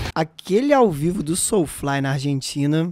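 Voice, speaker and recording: A man with a plain, everyday voice speaks at a fairly slow pace, his pitch fairly high and his pitch variation ordinary, on a very clean recording with a silent background. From Brazil, interior of Minas Gerais. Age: 20s. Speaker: podcast co-host. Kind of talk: casual chat.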